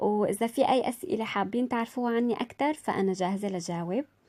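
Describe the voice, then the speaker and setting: This woman's voice sits at a fairly high pitch and moves at a moderate pace. She speaks in an Aleppo accent. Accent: Syrian Arabic, Aleppo. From Syria, Aleppo. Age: 20s. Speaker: vlogger. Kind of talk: casual vlog introduction. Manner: halting, many fillers.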